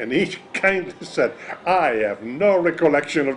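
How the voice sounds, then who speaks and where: Noticeable background noise sits behind a man speaking at a fairly high pitch and a moderate pace. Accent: Italian. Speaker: magician. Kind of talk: interview. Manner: halting.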